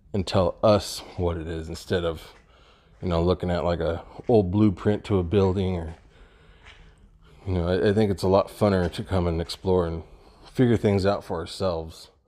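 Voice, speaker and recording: A man speaks at a moderate pace in a very deep, low voice with fairly even intonation. He leaves long, frequent pauses. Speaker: urban explorer vlogger. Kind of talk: casual vlog chat. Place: empty room. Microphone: phone near.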